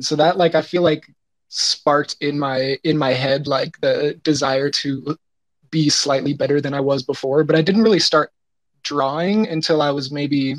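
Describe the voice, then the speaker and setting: A man with an ordinary speaking voice, fairly high pitch, fairly even intonation and moderate pace, recorded in a dry, close sound with no echo. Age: 20s. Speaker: artist. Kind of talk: interview. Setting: live audio chat room.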